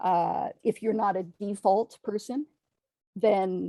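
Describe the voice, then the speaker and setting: This woman's voice has a dark, mellow tone. The sound is close and dry, without echo. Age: 50s. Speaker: horror author. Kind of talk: casual chat. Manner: halting, many fillers.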